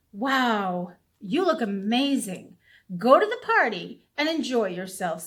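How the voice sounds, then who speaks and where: On a very clean recording with a silent background, a woman puts on a squeaky character voice at a fairly high pitch and a fairly slow pace. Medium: read story.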